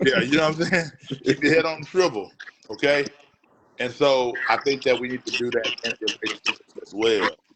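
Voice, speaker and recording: A man with an ordinary speaking voice talks at a moderate pace, his pitch fairly high and his pitch variation ordinary. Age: 40s. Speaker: producer and director. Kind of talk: casual chat.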